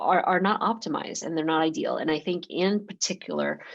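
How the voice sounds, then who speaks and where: Over a quiet background, a woman talks with vocal fry. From US South, Georgia (born in Taiwan, moved at six). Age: 40s. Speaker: industrial designer, sex toy company founder. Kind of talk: podcast interview.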